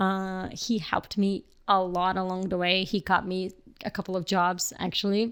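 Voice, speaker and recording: A woman's fairly slow speech is heard on a very clean recording with a silent background. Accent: Portuguese. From Brazil, Rio de Janeiro. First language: Portuguese. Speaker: filmmaker and photographer. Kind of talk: casual podcast interview. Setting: podcast recording with hosts. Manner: halting, many fillers.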